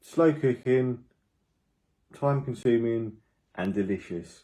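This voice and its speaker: Speaking with a British accent at a fairly slow pace, a man with a dark, mellow, medium-pitched voice shows ordinary pitch variation. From Britain. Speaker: food and travel vlogger. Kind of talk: casual vlog talk to camera.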